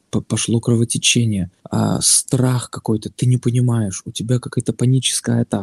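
A man speaks at a moderate pace in a medium pitch, his somewhat breathy voice dark and mellow, with a dry, close sound, no echo and a quiet background. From Baltic states. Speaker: new father. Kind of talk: casual interview.

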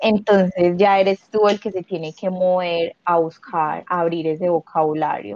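A woman with a fairly low pitch and a plain, everyday voice speaks at a fairly slow pace with hardly any pauses and ordinary pitch variation. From Colombia, Medellín. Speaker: former au pair. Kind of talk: casual interview. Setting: call.

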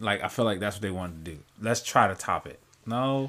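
On a very clean recording with a silent background, a man speaks with a fairly low pitch. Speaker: podcast co-host. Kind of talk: casual chat. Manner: energetic.

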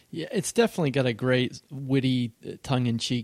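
In a plain, everyday voice with an American accent, a man talks at a fairly quick pace and medium pitch on a very clean recording with a silent background. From western Pennsylvania. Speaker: podcast host, horror writer. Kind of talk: casual interview.

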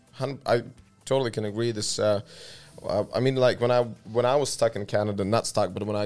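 Monotone, flat intonation from a man with an Eastern European accent, at a fairly quick pace. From Latvia. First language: Russian. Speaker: podcast host. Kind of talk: casual chat.

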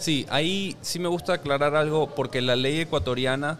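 With noticeable background noise, a man talks at a moderate pace in a fairly high pitch with ordinary pitch variation. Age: 30s. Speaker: personal finance educator and podcaster. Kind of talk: casual interview chat. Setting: rooftop venue.

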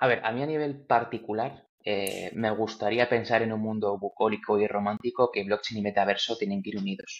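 An unremarkable speaking voice moves at a fairly quick pace with fairly even intonation and hardly any pauses. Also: man, medium pitch for a man. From Spain, Valladolid. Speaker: tech entrepreneur. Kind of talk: interview.

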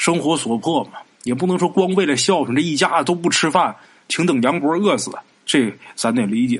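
With an unremarkable speaking voice, a man talks at a fairly quick pace, his pitch fairly high and his intonation lively. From Northeast China, Haicheng, Liaoning. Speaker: podcast storyteller. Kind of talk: storytelling narration. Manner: casual, conversational.

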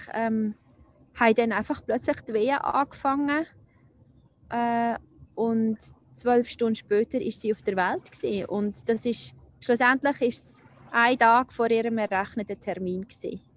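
A woman speaks at a fairly high pitch and a fairly slow pace, with long, frequent pauses, in a dry, close sound with no echo. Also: ordinary pitch variation. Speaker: nurse and spiritual healer. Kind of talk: personal testimony interview. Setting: outdoors by a lake. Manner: halting.

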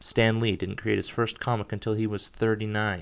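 The recording is very clean with a silent background. A man speaks at a moderate pace with a fairly low pitch. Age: 20s. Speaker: podcast host. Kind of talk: solo monologue podcast.

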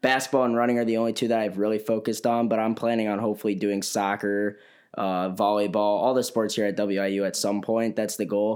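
A man with a Chicago accent at a fairly quick pace. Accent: Chicago-area American. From northern Illinois, Chicago area. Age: young. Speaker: college runner and photographer. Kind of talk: casual interview.

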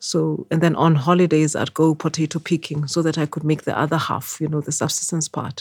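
A woman with a very deep, low pitch and a somewhat breathy voice talks at a fairly quick pace with hardly any pauses and monotone, flat intonation, recorded very cleanly against a silent background with a dry, close sound and no echo. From Eswatini (Swaziland). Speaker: businesswoman and former CEO. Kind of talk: interview.

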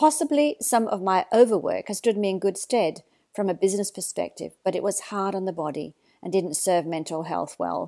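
A woman with an Australian accent speaks at medium pitch and a moderate pace, her tone dark and mellow and her intonation lively. The recording is very clean with a silent background and a dry, close sound with no echo. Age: 60s. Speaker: mindfulness teacher. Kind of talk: reflective monologue.

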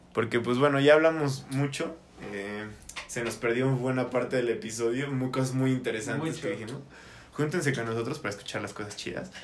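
Over noticeable background noise and audible room echo, a man talks at a fairly quick pace with a medium pitch. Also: ordinary pitch variation. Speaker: podcast host. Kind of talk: casual chat. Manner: fast, sometimes stutters.

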